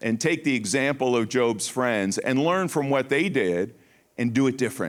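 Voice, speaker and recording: A man speaks at a moderate pace with medium pitch, lively intonation and very even loudness. The recording is very clean, with a silent background. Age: 60s. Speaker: Bible study teacher. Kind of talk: sermon. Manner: repetitive, halting with restarts.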